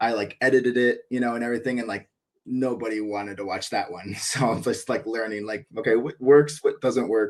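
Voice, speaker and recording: A man speaks at medium pitch with an American accent. His intonation is fairly even. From US Midwest (northern Michigan). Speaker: cricket YouTuber. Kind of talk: casual chat.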